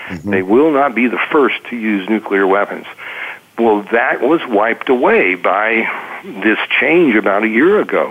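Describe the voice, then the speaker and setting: A man with an American accent talks in a lively, varied intonation while noticeable background noise carries on. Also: medium pitch for a man, moderate pace. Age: 70s. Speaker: financial newsletter author. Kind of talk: radio interview.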